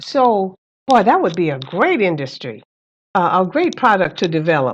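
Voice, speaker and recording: With very wide pitch swings, a woman talks at a fairly slow pace. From Louisiana, moved to California at 12. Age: 70s. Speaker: cannabis dispensary owner and former school principal. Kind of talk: interview.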